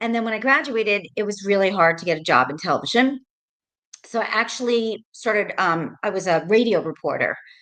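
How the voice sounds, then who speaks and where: A woman speaks at a medium pitch with lively intonation. Her pace is fairly quick. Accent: American. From New York, Rockland County. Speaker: realtor, former TV producer. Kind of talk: interview. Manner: casual, many fillers.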